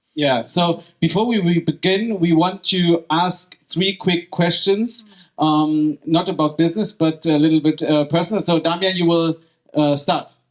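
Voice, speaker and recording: In a German accent, the voice holds very even loudness and fairly even intonation. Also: man, high pitch for a man. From Germany. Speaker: podcast host. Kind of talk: live event moderation. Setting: stage with audience.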